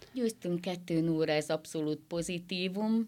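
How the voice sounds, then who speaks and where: An unremarkable speaking voice from a woman, fairly low in pitch and fairly even in intonation, comes at a moderate pace over a very clean recording with a silent background. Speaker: football fan. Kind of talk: radio interview. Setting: studio.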